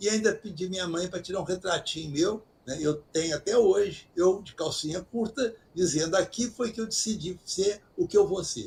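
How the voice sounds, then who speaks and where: A man's high voice with ordinary pitch variation and big swings in loudness. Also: moderate pace. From Brazil, interior of Minas Gerais. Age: 80s+. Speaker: retired doctor and author. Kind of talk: interview. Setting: video call.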